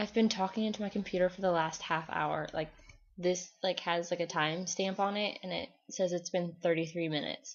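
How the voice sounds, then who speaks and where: A woman speaks at a fairly quick pace with fairly even intonation and a fairly low pitch. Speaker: college student vlogger. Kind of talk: video diary. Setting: alone in dorm room, recording on computer. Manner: forceful when passionate.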